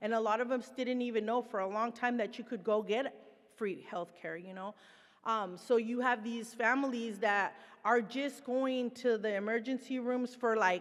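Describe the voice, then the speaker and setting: With a Spanish accent, a woman talks at a moderate pace with a fairly high pitch and fairly even intonation. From Mexico. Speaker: presenter, person in recovery. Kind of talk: conference presentation. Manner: casual, conversational.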